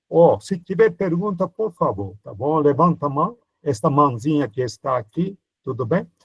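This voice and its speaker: A man's fairly high voice swings very widely in pitch at a moderate pace, the sound dry and close with no echo. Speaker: priest teaching a Bible course. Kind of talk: lecture. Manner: animated.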